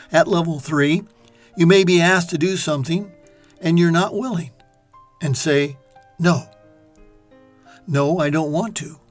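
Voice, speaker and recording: Music plays in the background. The speech has long, frequent pauses. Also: moderate pace. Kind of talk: reflective talk on life.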